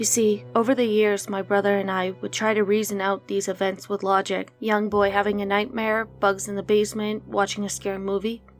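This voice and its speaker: A woman talking at a fairly quick pace with music in the background. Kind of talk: horror story narration.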